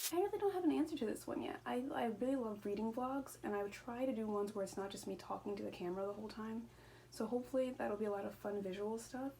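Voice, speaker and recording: Noticeable background noise sits behind this recording. A woman with a fairly high pitch talks at a very fast pace. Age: 20s. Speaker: booktuber. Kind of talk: casual vlog monologue. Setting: at home. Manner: rambling with stumbles.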